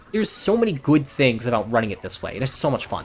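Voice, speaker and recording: The tone is animated, with noticeable background noise present. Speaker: gaming YouTuber. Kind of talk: gameplay build explanation. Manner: fast.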